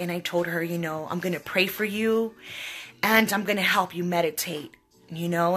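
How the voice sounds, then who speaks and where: The speaker keeps a moderate pace with ordinary pitch variation. Music plays in the background. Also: woman. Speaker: psychic medium. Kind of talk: live stream talk to viewers. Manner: loud.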